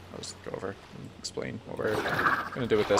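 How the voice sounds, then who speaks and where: Speaking at a very fast pace, a man with an American accent has a fairly low pitch. His pitch varies an ordinary amount. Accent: American, self-described as mumbling. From United States. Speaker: Minecraft streamer. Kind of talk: live stream commentary. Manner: hesitant with many fillers.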